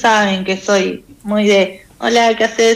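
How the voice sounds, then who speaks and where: At a very slow pace, a woman speaks in a fairly high pitch. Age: 30s. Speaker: weekly columnist. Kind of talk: casual chat.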